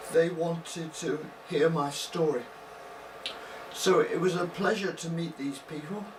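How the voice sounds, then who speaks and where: Amid noticeable background noise and audible room echo, a man speaks very slowly in a high voice. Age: 60s. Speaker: brain injury survivor, semi-retired academic scientist. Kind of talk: personal talk to camera with slides. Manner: slow and soft-spoken; halting, pauses to think before speaking.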